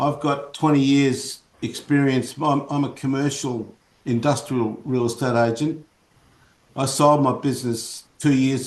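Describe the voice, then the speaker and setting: Speaking at a fairly slow pace, a man with an Australian accent holds a medium pitch in a flat, monotone delivery. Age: 70s. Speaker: commercial real estate agent. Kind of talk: casual chat. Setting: video call.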